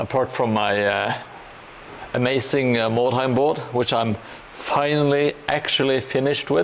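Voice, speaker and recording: Over noticeable background noise, a man with a Norwegian accent speaks at a medium pitch with fairly even intonation. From Norway. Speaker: hobby livestreamer building a gaming board. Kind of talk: casual livestream chat while crafting. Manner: halting, many fillers.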